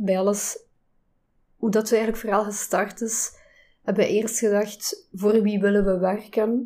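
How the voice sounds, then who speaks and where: At a fairly slow pace, a woman speaks in a monotone, flat intonation, with a fairly high pitch and a dark, mellow tone. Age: 40s. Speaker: fashion label co-founder. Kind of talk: interview.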